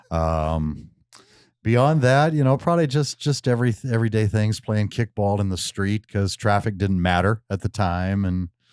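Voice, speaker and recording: Someone speaks with a Western US accent, lively intonation and a moderate pace. The recording is very clean and silent in the background, with a dry, close sound and no echo. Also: man, fairly low pitch for a man. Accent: Western American. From Missoula, Montana. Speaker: radio host. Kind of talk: interview answer.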